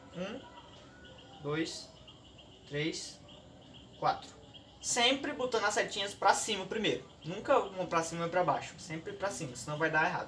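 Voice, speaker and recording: A man's high-pitched voice with lively intonation and long, frequent pauses, plus audible room echo and noticeable background noise. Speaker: student youtuber. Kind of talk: tutorial. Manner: fast; casual.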